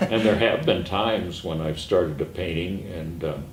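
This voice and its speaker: A man's very deep, low voice at a moderate pace, with ordinary pitch variation and audible room echo. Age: 80s+. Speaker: artist. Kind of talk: interview. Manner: halting, many fillers.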